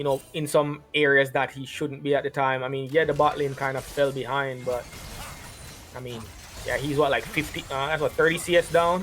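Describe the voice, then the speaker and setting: Over noticeable background noise, a man with a Jamaican accent speaks at a moderate pace in a monotone, flat intonation. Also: fairly high pitch for a man. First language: Jamaican Patois. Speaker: esports commentator. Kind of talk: live commentary.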